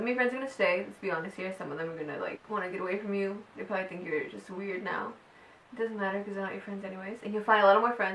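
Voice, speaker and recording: Very fast and animated, a woman speaks at a medium pitch with ordinary pitch variation and big swings in loudness. Audible room echo and noticeable background noise are present. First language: Spanish. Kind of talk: personal testimony vlog. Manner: animated, casual.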